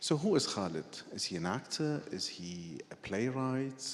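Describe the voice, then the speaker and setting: Amid audible room echo, a man at a medium pitch speaks at a moderate pace with very wide pitch swings. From Iraq. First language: Arabic. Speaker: journalist and writer. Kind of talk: on-stage conversation. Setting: stage with audience.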